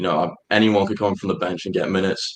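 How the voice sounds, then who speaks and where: A man with an English accent, fairly low-pitched, at a fairly quick pace. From England. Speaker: college soccer player. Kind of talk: radio interview. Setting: live studio show.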